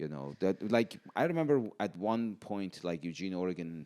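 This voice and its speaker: With an Iranian accent, a man speaks at a very deep, low pitch and a moderate pace with ordinary pitch variation, in a very clean recording with a silent background. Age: 40s. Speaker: podcast guest. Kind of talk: casual chat. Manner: halting.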